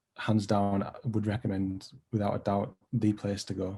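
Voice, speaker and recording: A man's dark, mellow voice with a Teesside accent. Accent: Teesside (Middlesbrough). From northern England, Middlesbrough. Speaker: design lecturer presenting his project. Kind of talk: presentation.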